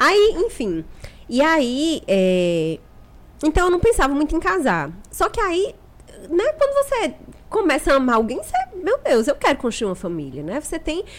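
Long, frequent pauses break up this woman's speech. She has a Paraíba accent. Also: moderate pace. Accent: northeastern Brazilian (Paraíba). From Paraíba interior, Brazil (Picuí). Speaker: doula. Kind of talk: casual chat.

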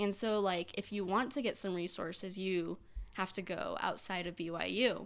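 At a moderate pace, a woman with an unremarkable speaking voice speaks at medium pitch with fairly even intonation. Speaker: university student. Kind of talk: casual chat.

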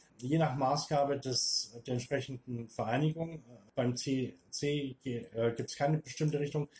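A man's fairly high, somewhat breathy voice carries a dark, mellow tone and fairly even intonation. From Upper Franconia, Bavaria (near Hof). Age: 50s. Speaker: former lecturer, interview guest. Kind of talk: interview.

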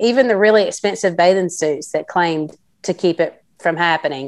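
Against a quiet background, a woman with a Southern US accent talks at a moderate pace with lively intonation. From South Carolina. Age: 40s. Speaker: entrepreneur. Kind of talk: interview.

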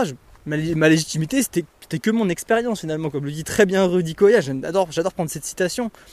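The speaker is a man with a high pitch. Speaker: podcaster and trail runner. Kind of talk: solo monologue podcast. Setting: outdoors on a walk. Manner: hesitant, many fillers; casual, conversational.

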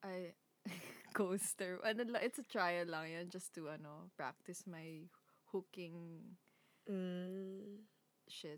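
A woman with a Filipino accent speaks very slowly at a medium pitch, with fairly even intonation. Her loudness swings widely, and she leaves long, frequent pauses. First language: Tagalog. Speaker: podcast co-host. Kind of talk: casual chat.

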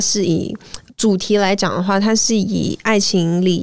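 With a normal speaking voice, a woman talks at a fairly slow pace and a medium pitch. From Malaysia. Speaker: singer-songwriter. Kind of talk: interview. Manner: code-switching with English.

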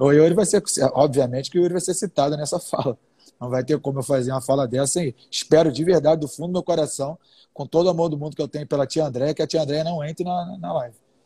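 A man speaks very fast in a fairly high, somewhat breathy voice with a dark, mellow tone and ordinary pitch variation, recorded dry and close with no echo. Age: 30s. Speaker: entrepreneur and business lecturer. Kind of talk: casual live-stream conversation.

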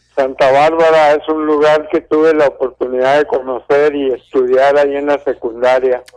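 At a moderate pace with hardly any pauses, a man talks at a fairly high pitch, his intonation monotone and flat and his loudness very even. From Durango, Mexico. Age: 70s. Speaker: radio caller, retired pensioner. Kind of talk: phone-in call. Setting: phone call.

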